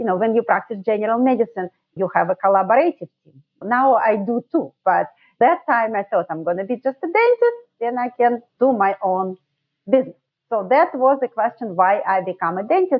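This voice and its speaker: A woman with a Russian accent talks fairly quickly in a fairly high voice, with lively intonation and big swings in loudness. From Russia, Saint Petersburg. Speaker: dentist, sleep medicine specialist. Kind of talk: podcast interview.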